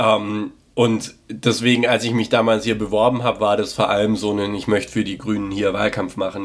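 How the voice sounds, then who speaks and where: A man's monotone, flat delivery at a moderate pace, on a very clean recording with a silent background. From Baden-Württemberg, Sindelfingen. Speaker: local politician. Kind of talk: interview.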